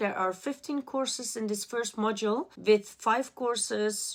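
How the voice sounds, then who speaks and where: Woman with a non-native accent at a fairly slow pace and fairly even intonation. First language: not English. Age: adult. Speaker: art student vlogger. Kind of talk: personal vlog.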